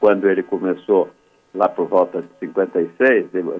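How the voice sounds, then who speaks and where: A man speaks at a moderate pace, and music can be heard behind him. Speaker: sports broadcaster. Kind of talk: radio interview answer.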